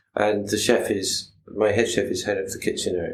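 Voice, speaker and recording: There is audible room echo as a man with a medium pitch speaks at a moderate pace. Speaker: restaurant owner. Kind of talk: casual interview chat. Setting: podcast recording. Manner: halting, repeats words.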